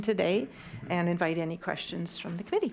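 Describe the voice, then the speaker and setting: Noticeable background noise accompanies a woman who speaks at a fairly quick pace. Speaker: community group presenter. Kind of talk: public presentation to committee. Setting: council committee meeting. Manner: formal.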